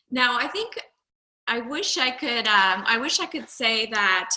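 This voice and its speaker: A woman's bright, sharp tone at a fairly slow pace. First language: not English. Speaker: health coach, former nurse. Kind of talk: personal testimony.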